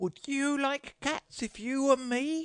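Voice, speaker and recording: A put-on character voice, shrill and high-pitched, delivers its lines at a fairly slow pace. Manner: passionate, indignant.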